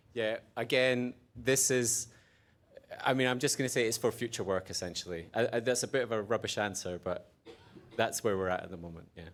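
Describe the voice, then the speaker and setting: In an Edinburgh accent, a man speaks at a medium pitch and a fairly quick pace with ordinary pitch variation. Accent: Scottish (Edinburgh). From Scotland, Edinburgh. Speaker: conference speaker, researcher. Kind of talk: conference Q&A.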